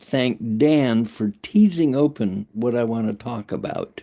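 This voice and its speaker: With a medium pitch swinging very widely and a dark, mellow tone, a man speaks fairly slowly over a quiet background. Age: 80s+. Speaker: community member. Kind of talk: casual chat. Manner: halting.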